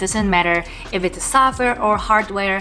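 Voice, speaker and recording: Music plays in the background as a woman talks at a fairly quick pace. Her pitch is medium, and she has a non-native accent. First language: non-English. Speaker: product manager in tech. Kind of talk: casual talk to camera.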